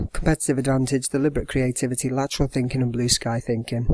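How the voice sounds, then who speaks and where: With an English accent, a man speaks in a dry, close sound with no echo. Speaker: secondary school business teacher. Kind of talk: educational tutorial. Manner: fast.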